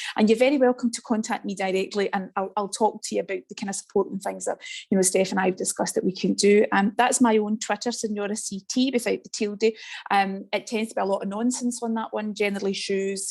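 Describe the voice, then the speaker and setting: The woman's voice sits at a medium pitch. She keeps up a fairly quick pace. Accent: west of Scotland. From Scotland, west coast. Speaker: teacher educator. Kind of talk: online presentation. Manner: fast; animated.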